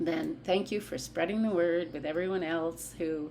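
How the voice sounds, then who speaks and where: A woman's fairly low-pitched voice at a moderate pace, with ordinary pitch variation and audible room echo. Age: 60s. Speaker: vlogger. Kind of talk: casual vlog monologue. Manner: animated.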